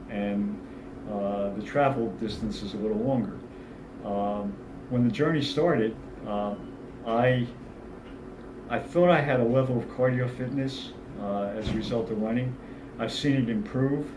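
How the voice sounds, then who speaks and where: Amid audible room echo, a man speaks at medium pitch and a moderate pace with ordinary pitch variation and long, frequent pauses. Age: 60s. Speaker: fitness client giving testimonial. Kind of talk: testimonial interview. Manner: halting, many fillers.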